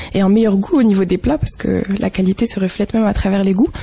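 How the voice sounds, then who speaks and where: A normal speaking voice at a fairly quick pace with fairly even intonation. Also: woman. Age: 20s. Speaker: association volunteer. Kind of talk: radio interview.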